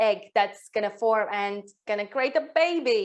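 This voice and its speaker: At a fairly slow pace, a woman talks with a fairly high pitch and ordinary pitch variation. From Latvia. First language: Latvian. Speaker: women's health coach. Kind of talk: online workshop.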